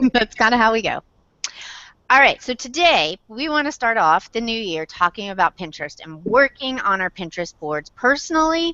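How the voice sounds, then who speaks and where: A woman's fairly high voice with very wide pitch swings and a slight Southern accent. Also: moderate pace. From Indiana, south side of Indianapolis. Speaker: blogger, web show host. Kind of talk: casual chat.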